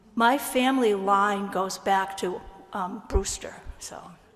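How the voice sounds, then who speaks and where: Noticeable background noise runs behind a woman speaking at a fairly high pitch. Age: 80s+. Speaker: church musician. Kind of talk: congregational sharing of joys and concerns. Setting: church service.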